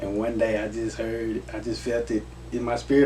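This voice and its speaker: In a room with audible echo, a man with an American accent talks at a medium pitch with fairly even intonation. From Texas, Garland (Dallas area). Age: 30s. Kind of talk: interview. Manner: casual, conversational.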